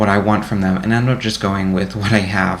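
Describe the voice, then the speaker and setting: A man with a fairly low pitch speaks at a fairly quick pace, with audible room echo and noticeable background noise. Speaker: college student. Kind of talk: reflective monologue to camera. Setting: recorded to camera. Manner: fast; halting.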